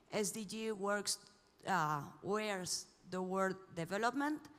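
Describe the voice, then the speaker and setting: A woman is speaking. She has a Spanish accent. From Spain. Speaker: panel moderator. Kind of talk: panel moderation. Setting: conference stage with audience.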